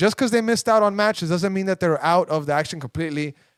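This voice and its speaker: A high-pitched man's voice with a Spanish accent. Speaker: soccer podcast host. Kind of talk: casual chat. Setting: studio. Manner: animated.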